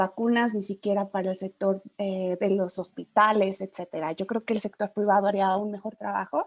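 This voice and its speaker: A woman speaks at a moderate pace and a medium pitch. The sound is dry and close, with no echo. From Mexico. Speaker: webinar audience member asking a question. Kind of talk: Q&A question in online webinar. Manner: hesitant, many fillers.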